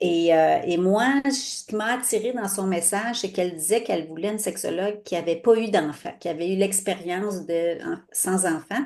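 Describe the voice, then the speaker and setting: Moderate pace from a woman with a medium pitch, ordinary pitch variation and hardly any pauses. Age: 60s. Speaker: sexologist. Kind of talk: casual interview chat. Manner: halting, many fillers.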